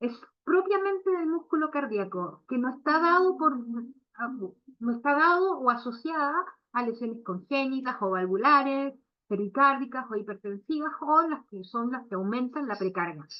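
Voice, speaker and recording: At a fairly slow pace, a woman with a Chilean accent speaks in a high pitch with very wide pitch swings. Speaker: veterinary cardiologist. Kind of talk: lecture. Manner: hesitant, many fillers.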